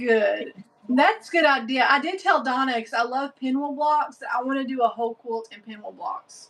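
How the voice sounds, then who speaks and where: In a Southern US accent, a woman with a high voice speaks at a moderate pace. Her intonation is lively, and her loudness swings widely. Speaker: sewing livestream host. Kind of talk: casual chat. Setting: livestream with viewer chat.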